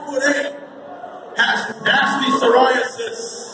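A man speaks in a raised, projected voice over loud background noise, with audible room echo. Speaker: ring announcer. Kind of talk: wrestling ring announcement. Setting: live event PA system. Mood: mocking, playful insults. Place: hall. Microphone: pa.

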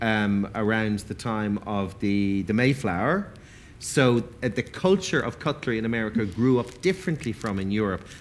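A man with an Irish accent at a moderate pace, lively in intonation, over light background noise. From Ireland. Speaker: event moderator and food writer. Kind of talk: panel discussion. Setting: stage with audience. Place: stage. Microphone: headset.

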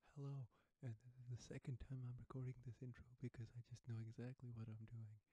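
Against a quiet background with a dry sound and no echo, a soft-spoken man speaks at a moderate pace in a medium pitch, his tone dark and mellow, somewhat breathy, with monotone, flat intonation. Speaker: ASMR creator. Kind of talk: soft spoken ASMR intro. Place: home room.

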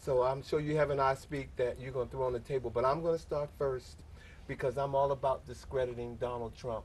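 A man talks in a somewhat breathy voice. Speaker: talk show host. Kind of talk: talk show discussion. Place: studio.

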